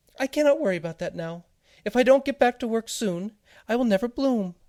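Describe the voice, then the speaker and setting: The speaker puts on a character voice at a fairly high pitch and a fairly quick pace. The recording is very clean, with a silent background. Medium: read story. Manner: fretful, dramatic.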